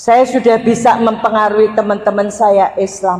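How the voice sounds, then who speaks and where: A woman speaks with a Javanese accent. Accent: Javanese-accented Indonesian. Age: 60s. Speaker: Islamic preacher. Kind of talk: religious talk to congregation. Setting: mosque with audience. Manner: animated.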